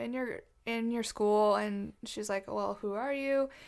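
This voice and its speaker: An unremarkable speaking voice with fairly even intonation moves at a moderate pace on a very clean recording with a silent background. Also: woman. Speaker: podcast host. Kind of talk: casual chat.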